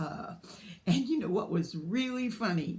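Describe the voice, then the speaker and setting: A woman with a slight Southern US accent speaks with lively intonation. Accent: slight Southern drawl. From US, partly south Georgia. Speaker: book vlogger. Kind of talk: casual vlog monologue. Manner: halting, many fillers.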